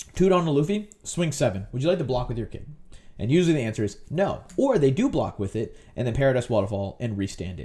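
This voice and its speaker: This man's voice is somewhat breathy and sits at a medium pitch. He talks at a very fast pace with very wide pitch swings. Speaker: card game player and content creator. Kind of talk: tutorial. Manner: animated.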